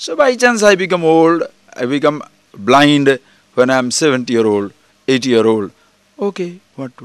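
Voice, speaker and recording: With an Indian accent, a man talks at a fairly high pitch, with very wide pitch swings, big swings in loudness and long, frequent pauses. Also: moderate pace. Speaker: spiritual teacher. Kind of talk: spiritual discourse. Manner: conversational.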